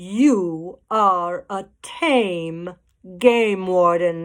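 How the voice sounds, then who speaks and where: A female-sounding voice growls in a put-on character voice at a middle pitch. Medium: read story. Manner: growling.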